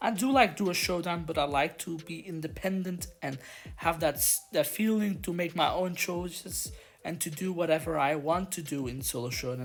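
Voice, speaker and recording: Speaking with a non-native accent, a woman uses a very deep, low pitch with vocal fry, lively intonation and a moderate pace. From Belgium. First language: not English. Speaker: gaming youtuber. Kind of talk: gameplay commentary.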